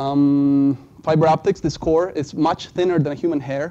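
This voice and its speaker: With a non-native accent, this man speaks at a moderate pace. His pitch is fairly high and his tone dark and mellow. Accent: foreign accent, self-described. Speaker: student presenter. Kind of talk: class presentation. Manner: halting, many fillers.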